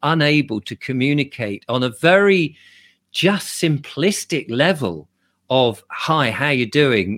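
The speaker has an English accent and very wide pitch swings. The recording is very clean, with a silent background and a dry, close sound with no echo. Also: man. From England. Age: 60s. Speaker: YouTuber and commentator. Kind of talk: interview.

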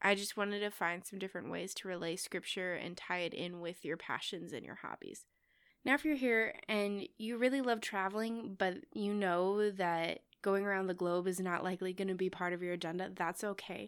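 A woman speaks with a Midwestern American accent at a moderate pace. Her pitch variation is ordinary, and the recording is very clean with a silent background. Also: medium pitch for a woman. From US Midwest. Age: 20s. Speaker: podcast host, church educator. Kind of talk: solo podcast monologue.

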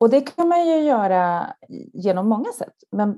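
A woman with a dark, mellow tone speaks at a fairly high pitch, her voice making very wide pitch swings. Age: 40s. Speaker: marketing executive. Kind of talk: interview.

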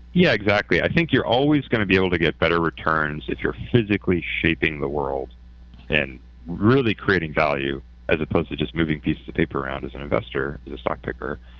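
This man has a very deep, low pitch, vocal fry, and a Canadian accent. He talks at a very fast pace with lively intonation. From Canada. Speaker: hedge fund founder. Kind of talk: interview. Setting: remote from office.

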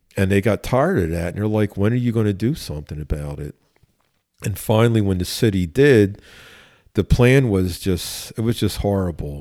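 A man with a Philadelphia accent speaks at a moderate pace in a very deep, low voice with a dark, mellow tone. The recording is very clean, with a silent background. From Philadelphia, US. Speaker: police chief. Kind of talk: interview conversation.

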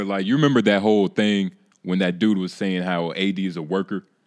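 Here is a man with a plain, everyday voice, fairly low in pitch. He keeps a moderate pace with ordinary pitch variation. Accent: American. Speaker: guest podcaster. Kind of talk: casual podcast chat. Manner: casual, slangy.

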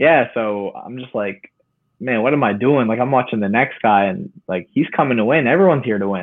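Using an unremarkable speaking voice, a man talks at a medium pitch and a fairly quick pace with lively intonation. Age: young. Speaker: amateur boxer. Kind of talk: casual interview chat.

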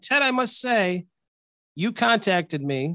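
This man uses a raised, projected voice with a bright, sharp tone. He talks at a fairly slow pace with very wide pitch swings. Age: middle-aged. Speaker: podcast co-host. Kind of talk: casual chat.

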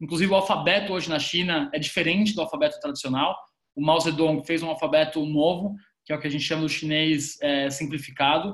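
On a very clean recording with a silent background, a man talks in an ordinary speaking voice. His pitch is fairly high, his intonation fairly even, and his pace fairly quick. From Brazil, São Paulo city. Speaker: business consultant, former lawyer. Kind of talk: podcast interview.

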